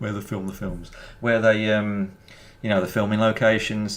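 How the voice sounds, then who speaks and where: A man with a Birmingham accent, fairly low in pitch, at a moderate pace. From England, Birmingham. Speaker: gaming streamer. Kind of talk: live stream commentary and chat. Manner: halting, many fillers and repetitions.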